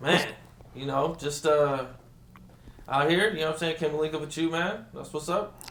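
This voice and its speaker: Speaking with an American accent, a man keeps a fairly high pitch and fairly even intonation, with long, frequent pauses. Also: moderate pace. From Rialto, California. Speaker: interviewer. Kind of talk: casual interview questions.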